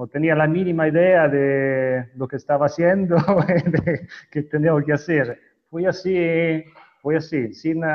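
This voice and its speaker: A man with a fairly high pitch and ordinary pitch variation, speaking at a very slow pace with long, frequent pauses. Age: 40s. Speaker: wedding videographer. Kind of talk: interview. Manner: halting.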